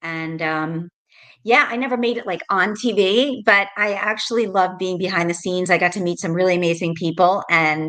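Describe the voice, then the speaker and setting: In an American accent, a woman speaks at a moderate pace with a bright, sharp tone. Her pitch sits at a medium level and varies in an ordinary way. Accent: New York, worked to tone it down. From New York, Rockland County. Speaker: realtor, former TV producer. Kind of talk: interview. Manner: casual, many fillers.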